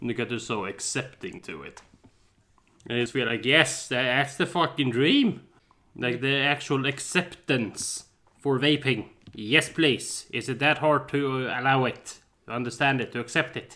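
With a Swedish accent, a man talks at a fairly slow pace in a medium pitch, with ordinary pitch variation and a bright, sharp tone. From Sweden. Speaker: podcast co-host. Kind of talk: casual chat. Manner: animated.

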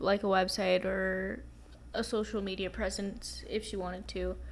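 A woman is speaking. She has an American accent. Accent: American-sounding, even in Spanish. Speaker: podcast co-host. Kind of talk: casual chat.

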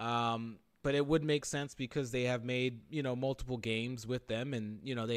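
A man with an American accent speaks at a moderate pace and medium pitch in an unremarkable speaking voice, his intonation fairly even. The recording is very clean, with a silent background. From Philadelphia area, Pennsylvania. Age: 30s. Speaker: gaming podcast host. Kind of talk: casual chat.

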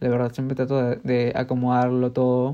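A man with a medium pitch speaks in a dark, mellow tone. The background is quiet. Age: 20s. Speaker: podcaster and architecture student. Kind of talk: casual monologue.

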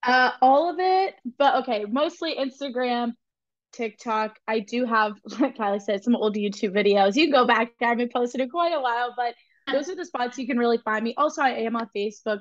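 A woman talks at a fairly quick pace and fairly high pitch. She has a normal speaking voice. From central Pennsylvania. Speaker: dairy promotion and nutrition influencer. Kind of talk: casual chat.

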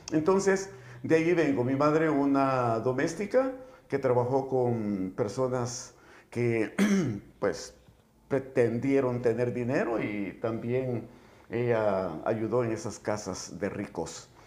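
At a very slow pace, a man speaks in a medium pitch with lively intonation and audible room echo. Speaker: political activist and former teacher. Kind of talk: casual chat. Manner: halting.

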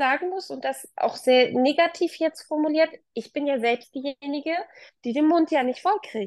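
A high-pitched woman speaks with ordinary pitch variation in a dry, close sound with no echo. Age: 30s. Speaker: working mother and manager. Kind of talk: interview. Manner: halting.

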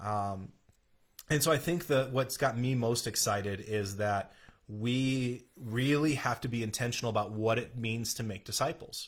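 A man's somewhat breathy, medium-pitched voice at a moderate pace with ordinary pitch variation, in a very clean recording against a silent background. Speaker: pastor. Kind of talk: casual chat. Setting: live stream.

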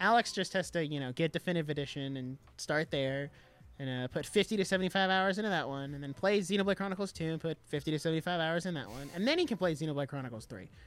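Over music in the background, the speaker talks at a very fast pace. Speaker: podcast host. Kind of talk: casual chat. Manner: casual, slangy, animated.

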